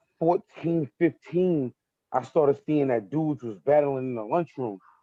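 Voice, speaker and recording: A man talks at a moderate pace with a Brooklyn accent. His pitch is fairly high, with ordinary variation. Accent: Brooklyn New York. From New York, Brooklyn. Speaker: battle rapper. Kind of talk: casual interview. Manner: casual, repetitive filler.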